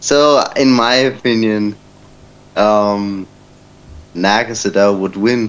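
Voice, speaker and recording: Someone with a German accent speaks at a very slow pace, leaving long, frequent pauses. Pitch variation is ordinary, and there is noticeable background noise. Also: man. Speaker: debate participant. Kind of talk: casual debate. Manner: halting, many fillers.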